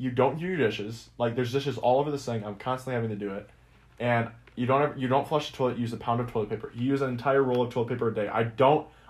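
Very fast, somewhat breathy speech from a man with fairly even intonation against a quiet background. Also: medium pitch for a man. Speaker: podcast co-host, college student. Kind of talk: casual chat.

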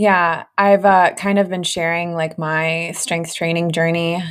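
At a fairly slow pace, a woman speaks in a normal speaking voice with a fairly low pitch and fairly even intonation. The recording is very clean, with a silent background. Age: 20s. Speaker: podcast host, fertility nutritionist. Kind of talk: casual interview.

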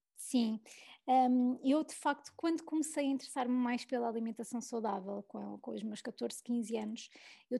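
At a fairly slow pace, a woman talks in a high pitch with a dark, mellow tone. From Portugal, Lisbon area. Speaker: food blogger and food photographer. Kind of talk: casual interview chat. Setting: podcast recording. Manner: hesitant, many repetitions.

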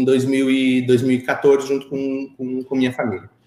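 This man's intonation is monotone, flat. He speaks fairly slowly. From Brazil, Curitiba. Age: 30s. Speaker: entrepreneur. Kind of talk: interview.

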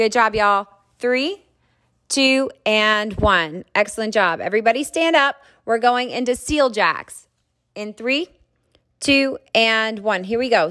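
Recorded very cleanly against a silent background, a woman with a fairly high pitch speaks at a fairly slow pace in an unremarkable speaking voice with ordinary pitch variation. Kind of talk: fitness class instruction. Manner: upbeat, encouraging, commanding.

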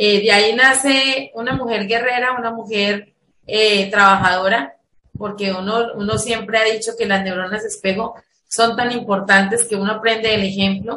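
A woman with a fairly high pitch speaks at a moderate pace. Her tone is bright and sharp, and her intonation stays fairly even. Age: 40s. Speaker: education academic. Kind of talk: interview.

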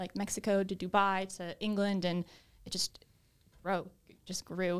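Her American accent comes through on a very clean recording with a silent background as the woman speaks at a moderate pace and medium pitch in a monotone, flat intonation. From Boston, Massachusetts. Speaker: coworking space director. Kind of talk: interview.

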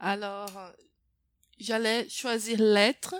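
A woman speaks. The recording is very clean, with a silent background. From Brazil. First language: Portuguese (speaking French). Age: 20s. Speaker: French teacher. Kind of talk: interview. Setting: host's home. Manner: hesitant, many fillers.

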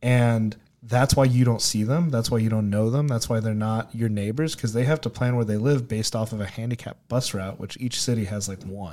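On a very clean recording with a silent background, a man of medium pitch speaks at a fairly quick pace in a normal speaking voice, with fairly even intonation. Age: 20s. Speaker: startup CEO and co-founder of e-learning platform for the blind. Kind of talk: casual interview chat.

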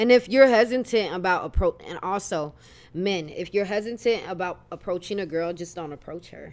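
A woman with an ordinary speaking voice, medium pitch, ordinary pitch variation and a moderate pace. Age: 20s. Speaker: podcast guest. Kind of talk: casual chat.

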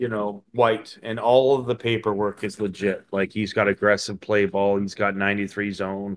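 A man with a plain, everyday voice talks at a fairly slow pace and fairly low pitch on a very clean recording with a silent background. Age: 50s. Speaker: podcast host. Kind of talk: casual chat.

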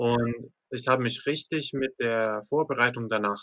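A very slow man's voice with an English accent, medium in pitch and bright, sharp in tone, in a dry, close sound with no echo. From US, Lancaster, Pennsylvania. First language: English (speaking German). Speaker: professional MMA fighter. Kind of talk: interview.

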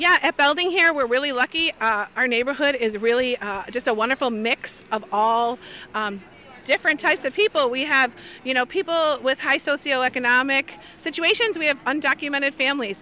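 Speaking with an American accent in a raised, projected voice, a woman with a high pitch moves at a fairly quick pace with lively intonation. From Chicago. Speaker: special education teacher and union delegate. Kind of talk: interview on a picket line.

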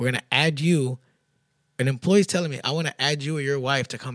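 With a Texan accent, a man talks at a fairly quick pace with ordinary pitch variation, in a dry, close sound with no echo. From Texas, Houston east side. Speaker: boxing gym partner. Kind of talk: casual chat. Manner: halting, repeats words.

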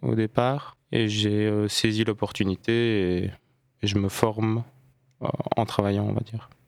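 At a very slow pace, a man speaks in a fairly low pitch, the sound dry and close with no echo. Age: 20s. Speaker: court law clerk. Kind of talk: interview. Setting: radio studio. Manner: hesitant, many fillers.

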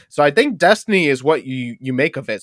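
Dry and close with no echo, a man with an American accent uses a normal speaking voice at medium pitch with lively intonation. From upstate New York. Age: 20s. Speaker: stand-up comedian. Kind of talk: casual chat.

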